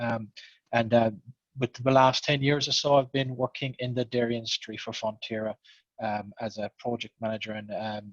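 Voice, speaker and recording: A man's medium-pitched voice in an Irish accent, monotone and flat. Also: moderate pace, dry, close sound with no echo. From Ireland. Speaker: programme manager. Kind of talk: panel introduction.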